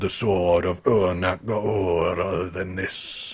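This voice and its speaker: The speaker is a man. He puts on a character voice. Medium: read story. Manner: slow, ominous, contemptuous.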